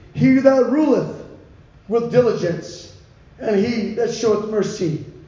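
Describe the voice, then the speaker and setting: Over noticeable background noise, a man with a high voice speaks at a very slow pace. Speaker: Bible teacher. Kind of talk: sermon.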